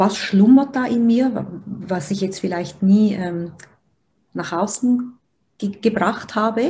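Pitch varies in an ordinary way as a woman talks in a medium register. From Switzerland. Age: 30s. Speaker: personal development coach, interviewer. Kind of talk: interview, asking questions. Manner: hesitant, many fillers.

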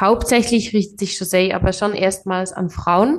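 A woman talks at a moderate pace in a normal speaking voice, her pitch medium and her intonation fairly even. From Switzerland, Biel. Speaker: tech account manager and founder. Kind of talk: interview.

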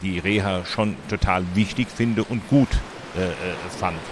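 This man's voice sits fairly low, with ordinary pitch variation. He talks at a very slow pace. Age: 70s. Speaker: cochlear implant user and volunteer advocate. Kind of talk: interview. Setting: outdoors at a public hearing event. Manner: halting.

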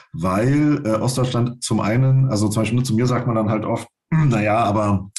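A man speaks at a medium pitch with ordinary pitch variation and a somewhat breathy quality. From Brandenburg, eastern Germany. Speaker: writer and newspaper journalist. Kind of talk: interview. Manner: halting, many fillers.

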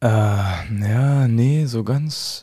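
A dark, mellow tone with ordinary pitch variation on a very clean recording against a silent background. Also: man. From eastern Germany, Lusatia (Hoyerswerda). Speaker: professional football goalkeeper. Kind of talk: casual chat.

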